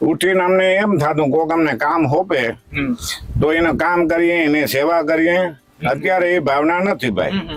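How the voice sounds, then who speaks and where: Very even loudness and ordinary pitch variation over noticeable background noise. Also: man, high pitch for a man. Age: 70s. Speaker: village elder. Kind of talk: interview.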